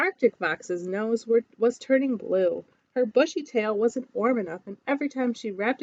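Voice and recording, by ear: Reading aloud in a natural voice is what this clip holds.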